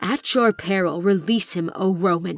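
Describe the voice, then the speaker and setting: Over faint music in the background, a growling, put-on character voice that sounds female speaks at a middle pitch. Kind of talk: formal, archaic. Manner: menacing.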